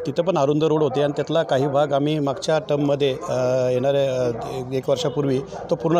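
Fairly even intonation from a man, with noticeable background noise behind him. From Maharashtra, Raigad district (Karjat). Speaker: local politician. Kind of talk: interview statement.

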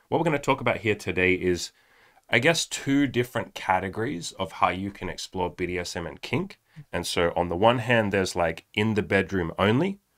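With a quiet background, the man's intonation is lively and his pace is moderate. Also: fairly low pitch for a man. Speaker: podcast co-host. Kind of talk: podcast discussion intro. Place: studio. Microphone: studio mic.

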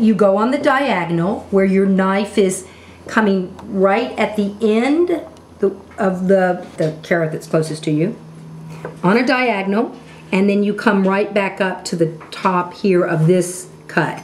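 Fairly slow speech with ordinary pitch variation and light background noise. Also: woman. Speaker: cooking instructor. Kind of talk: tutorial. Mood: warm, enthusiastic. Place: kitchen.

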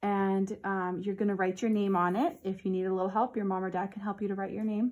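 A woman's very fast speech against a quiet background. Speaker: teacher. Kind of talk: tutorial for children. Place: classroom. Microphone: phone near.

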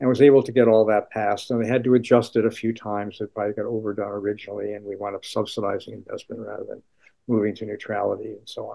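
Very fast and monotone, a man speaks with flat intonation at a fairly low pitch. His loudness swings a lot. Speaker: economics professor. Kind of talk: interview answer. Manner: soft-spoken; low-key.

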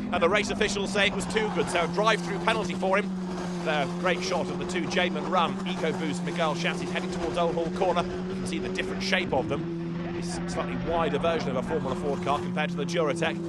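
A man with a high voice talks at a very fast pace with hardly any pauses, over noticeable background noise. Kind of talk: race commentary. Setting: broadcast over race footage. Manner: fast, excitable play-by-play, rising with the action; informed and fluent, naming drivers, cars and corners.

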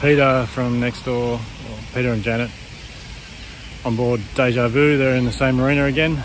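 A man talks at a fairly quick pace, his voice dry with no echo and noticeable background noise behind it. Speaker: sailing vlogger. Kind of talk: casual vlog chat. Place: garden. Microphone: phone near.

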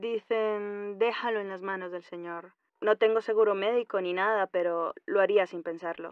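A woman with an unremarkable speaking voice, medium pitch and fairly even intonation speaks with big swings in loudness. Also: moderate pace. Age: 40s. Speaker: caller. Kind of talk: phone-in question.

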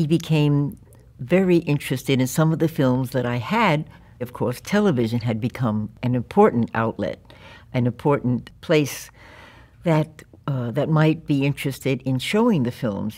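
The woman's voice has a very deep, low pitch and a dark, mellow tone. She uses lively intonation at a moderate pace. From New York (Yonkers and Brooklyn); New York. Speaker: documentary filmmaker; interviewee. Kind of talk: oral history interview. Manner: halting. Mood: warm, reflective. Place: studio.

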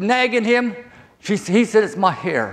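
Speaking at a fairly slow pace with a Southern US accent, this man has a high pitch and ordinary pitch variation. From southern Virginia, US South. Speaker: preacher. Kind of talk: sermon. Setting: church. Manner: halting. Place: hall.

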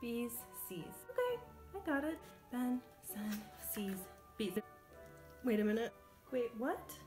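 Over clear music in the background, a woman speaks at a very slow pace with long, frequent pauses. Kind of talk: comedic self-talk while studying. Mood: frustrated, comic exasperation. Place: home room. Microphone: phone near.

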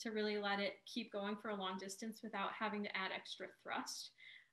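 A woman with an unremarkable speaking voice talks at a fairly high pitch with fairly even intonation against a quiet background. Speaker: museum educator. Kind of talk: educational presentation. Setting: video call. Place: home room. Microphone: video call.

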